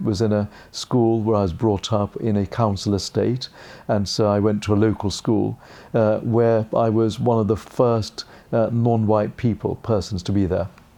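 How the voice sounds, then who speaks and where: A man with a British accent speaks at a fairly low pitch with fairly even intonation. His tone is dark and mellow, and his loudness stays very even. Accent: received pronunciation, learnt from TV. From England. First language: Gujarati. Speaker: barrister and part-time judge. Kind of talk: interview monologue.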